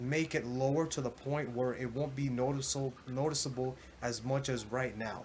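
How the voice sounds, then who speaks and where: A man speaks with a fairly high pitch at a moderate pace. His voice is somewhat breathy. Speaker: motivational video creator. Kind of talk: motivational talk to camera. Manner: halting.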